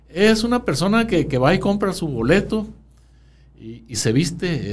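A man's high voice with very wide pitch swings, big jumps in loudness, a fairly slow pace and audible room echo. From Sonora, Mexico. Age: 60s. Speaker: town chronicler. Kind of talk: interview.

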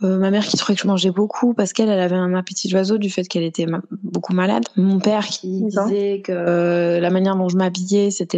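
Over noticeable background noise, a woman speaks at medium pitch and a fairly quick pace with hardly any pauses, in a monotone, flat intonation. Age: 30s. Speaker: stay-at-home mother and fashion content creator. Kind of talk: interview testimony.

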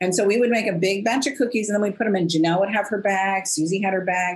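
The woman's voice sounds somewhat breathy. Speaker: business coach. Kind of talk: interview conversation.

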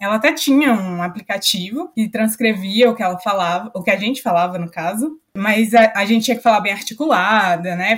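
She talks at a moderate speed with ordinary pitch variation. The woman has an ordinary speaking voice. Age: 20s. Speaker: company trainee. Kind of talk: podcast interview.

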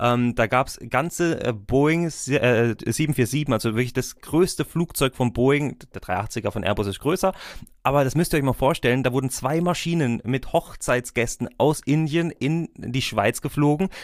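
A man speaks in a plain, everyday voice at medium pitch with ordinary pitch variation and a fairly slow pace. The recording is very clean, with a silent background. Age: 20s. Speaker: wedding officiant and podcast host. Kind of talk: casual interview.

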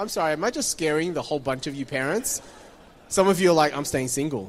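In an Australian accent, a man talks at a very fast pace with lively intonation and a fairly high pitch, in a very clean recording with a silent background. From Taiwan, then Sydney from age nine. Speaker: pastor. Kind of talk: sermon. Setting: church stage with audience.

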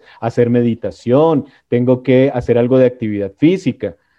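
In a normal speaking voice, a man talks at a medium pitch and a moderate pace with ordinary pitch variation. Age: 50s. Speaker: life coach. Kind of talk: casual chat.

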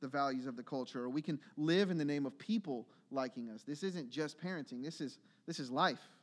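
At a very fast pace, a man talks in a fairly high pitch with ordinary pitch variation. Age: 30s. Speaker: pastor. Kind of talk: sermon. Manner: halting.

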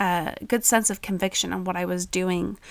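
A woman at a moderate pace. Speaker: podcast host. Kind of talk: solo podcast monologue, unedited. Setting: home recording with kids in background. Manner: halting, with pauses and filler.

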